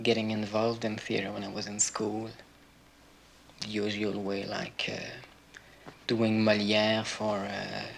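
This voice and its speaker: Amid noticeable background noise and audible room echo, a man with a fairly low voice speaks at a fairly slow pace in a monotone, flat way with long, frequent pauses. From Quebec, Montreal. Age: 20s. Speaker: stage director. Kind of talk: interview. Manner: hesitant.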